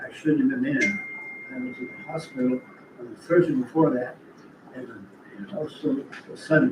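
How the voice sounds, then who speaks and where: Lively intonation runs through speech at a moderate pace. Noticeable background noise sits underneath. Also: man. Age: 80s+. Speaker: resident complainant. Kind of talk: heated argument. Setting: county board meeting.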